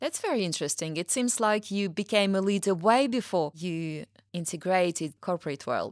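A plain, everyday voice speaks at a moderate pace with lively intonation, the sound dry and close with no echo. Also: woman, medium pitch for a woman. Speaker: podcast host. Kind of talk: interview conversation. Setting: studio.

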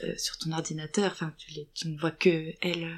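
Speaking at a moderate pace, a woman with a fairly low pitch keeps her intonation monotone and flat. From Lorraine, France (small town). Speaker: actress. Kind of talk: testimony. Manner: hesitant.

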